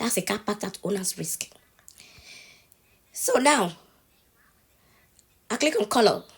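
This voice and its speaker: Somewhat breathy and fairly high in pitch, a woman talks at a moderate pace with ordinary pitch variation. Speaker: social media tutorial creator. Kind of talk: tutorial. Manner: casual, conversational.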